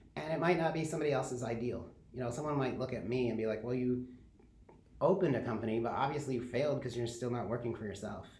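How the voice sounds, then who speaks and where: A man with an American accent talks at a very fast pace, with medium pitch and ordinary pitch variation. Audible room echo and noticeable background noise are present. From Michigan (Kalamazoo). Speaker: social media coordinator and design lecturer. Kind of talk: interview.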